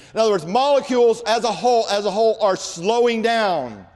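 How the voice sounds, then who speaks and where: The speaker has an animated tone and a fairly quick pace. Noticeable background noise runs under the voice. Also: man. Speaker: creation apologetics speaker. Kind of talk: lecture. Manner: fast.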